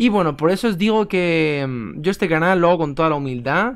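Pitched fairly high, a man with an unremarkable speaking voice lets his pitch vary in an ordinary way. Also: quiet background. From Spain. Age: 20s. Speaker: chess YouTuber. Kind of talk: casual vlog to camera. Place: home room. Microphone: webcam.

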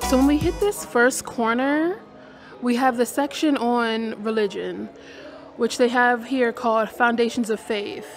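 Music plays in the background as a woman speaks. Her pace is fairly slow, with ordinary pitch variation. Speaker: travel vlogger. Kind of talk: casual vlog chat. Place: hall. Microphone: phone near.

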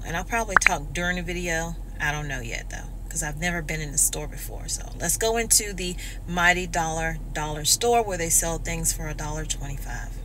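A woman talks at a fairly quick pace. Background noise is noticeable. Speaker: vlogger. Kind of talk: casual vlog chat. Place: car. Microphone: phone near.

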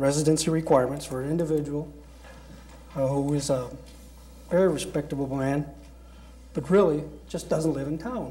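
Through audible room echo and noticeable background noise, a man talks at a moderate pace with a fairly high pitch. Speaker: city council member. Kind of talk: council meeting debate.

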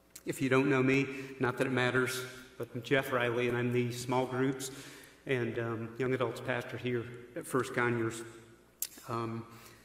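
A man talks at a moderate pace in a monotone, flat intonation. Audible room echo surrounds his voice. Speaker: pastor giving eulogy. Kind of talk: eulogy speech. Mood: solemn, warm, respectful. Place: church. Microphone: podium.

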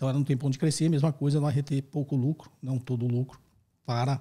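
Against a quiet background, a man with a dark, mellow tone talks somewhat breathy at a fairly quick pace with ordinary pitch variation. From Brazil. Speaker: finance professor and podcast host. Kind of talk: educational Q&A podcast. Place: studio. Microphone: studio mic.

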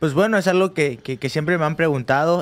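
A man with a Mexican accent, fairly high pitch and fairly even intonation. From Mexico (Cancún); Mexico. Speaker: professional boxer; guest. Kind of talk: casual interview. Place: studio. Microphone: studio mic.

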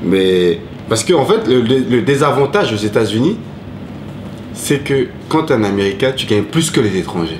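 A man speaks with long, frequent pauses. There is noticeable background noise. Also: medium pitch for a man, lively intonation, moderate pace. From Ivory Coast, then Paris suburbs from age 8. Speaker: cook and former rapper; interviewee. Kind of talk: interview. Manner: halting. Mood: relaxed, reflective storytelling. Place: home room.

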